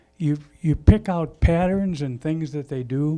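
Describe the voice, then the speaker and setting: Fairly slow male speech at fairly high pitch, with an American accent, ordinary pitch variation and music in the background. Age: 70s. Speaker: racing veteran. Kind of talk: speech at a launch event. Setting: live event with audience.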